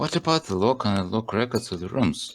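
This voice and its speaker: A man with a non-native accent speaks at a moderate pace with lively intonation. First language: not English. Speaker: game developer and let's play host. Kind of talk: let's play reading game text aloud. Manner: halting.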